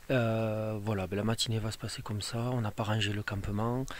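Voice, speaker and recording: A man with a fairly low pitch, fairly quick pace and monotone, flat intonation. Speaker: hiking vlogger. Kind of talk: outdoor vlog narration. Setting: outdoors in the mountains. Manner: whispering.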